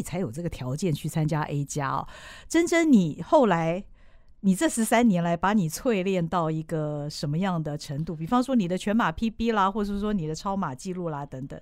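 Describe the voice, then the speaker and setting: Over a very clean recording with a silent background, a woman speaks at a medium pitch. Her intonation is lively and her tone animated. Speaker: podcast host. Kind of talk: interview. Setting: studio.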